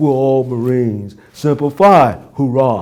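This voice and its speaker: A man speaks with a New York accent at a medium pitch. His pace is very slow, with ordinary pitch variation. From Brooklyn, New York. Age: 90s. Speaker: war veteran. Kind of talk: interview answer.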